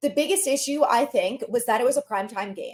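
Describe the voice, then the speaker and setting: A loud woman with a high pitch talks at a fairly quick pace in an animated tone. Her voice rises and falls in very wide pitch swings. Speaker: sports podcast host. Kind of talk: solo podcast commentary. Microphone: no external microphone, built-in mic.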